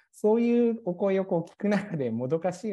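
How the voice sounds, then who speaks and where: A man's dark, mellow voice with very wide pitch swings, over a quiet background. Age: 30s. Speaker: pharmacist and pharmacy business owner. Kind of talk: policy proposal presentation. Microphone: video call.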